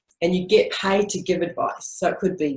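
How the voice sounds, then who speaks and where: A somewhat breathy woman's voice at a medium pitch. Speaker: speaker on business and spirituality. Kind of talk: webinar talk. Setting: webinar. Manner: fast.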